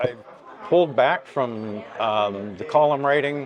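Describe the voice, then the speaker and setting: A man with a Canadian accent speaks with ordinary pitch variation against noticeable background noise. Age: 60s. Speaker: journalist and author. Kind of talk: interview.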